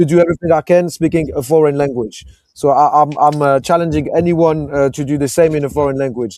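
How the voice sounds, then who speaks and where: This man's voice has a dark, mellow tone and a fairly high pitch. He talks at a very fast pace with fairly even intonation. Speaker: football pundit. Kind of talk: casual panel discussion. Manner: halting, many fillers.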